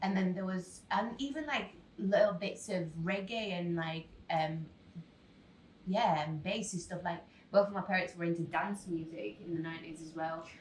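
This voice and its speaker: Audible room echo surrounds a woman whose somewhat breathy voice is fairly low in pitch, moving at a moderate pace with ordinary pitch variation. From Poland. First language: Polish. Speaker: singer. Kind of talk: radio interview. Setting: radio studio.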